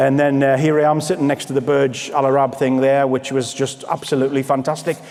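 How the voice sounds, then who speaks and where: A man talks very fast in a fairly high voice. There is noticeable background noise. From northeast England. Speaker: motivational speaker at sales conference. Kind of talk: motivational keynote speech. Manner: animated.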